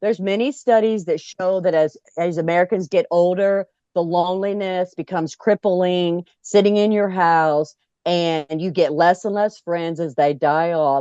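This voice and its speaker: Against a quiet background, a woman talks at a moderate pace in a normal speaking voice. Her pitch is fairly low with ordinary pitch variation, and the sound is dry and close with no echo. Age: 60s. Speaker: club founder and RVer. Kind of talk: interview. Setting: RV.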